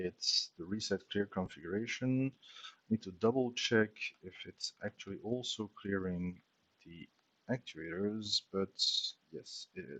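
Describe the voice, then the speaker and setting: A man's fairly low voice with a non-native accent and ordinary pitch variation at a fairly slow pace, in a dry, close sound with no echo. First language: not English. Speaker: software developer streamer. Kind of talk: live coding tutorial. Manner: casual, thinking aloud.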